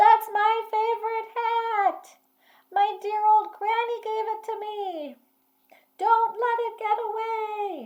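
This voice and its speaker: A put-on character voice from a woman, squeaky, loud and extremely high in pitch, at a very slow pace. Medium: read story. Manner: stern, loud.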